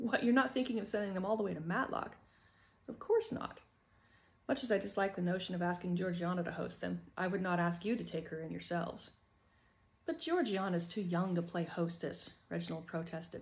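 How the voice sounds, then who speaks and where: Talking at a fairly quick pace with an American accent, this woman has a medium pitch, ordinary pitch variation, and a plain, everyday voice. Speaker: author reading own novel. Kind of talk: reading aloud.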